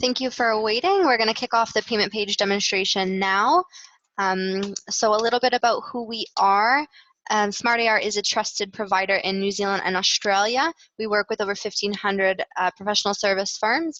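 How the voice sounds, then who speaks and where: The woman's voice has a bright, sharp tone. It sounds dry and close, with no echo. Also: fairly high pitch for a woman, ordinary pitch variation, moderate pace. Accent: Canadian. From Canada. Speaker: client success manager. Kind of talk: webinar product demo. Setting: online webinar.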